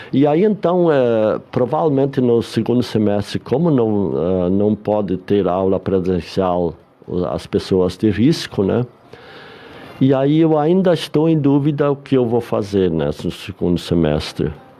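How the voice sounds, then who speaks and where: A man at medium pitch with very wide pitch swings yet very even loudness, at a fairly slow pace, over noticeable background noise. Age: 70s. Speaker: retired bank employee and psychology student. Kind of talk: radio interview.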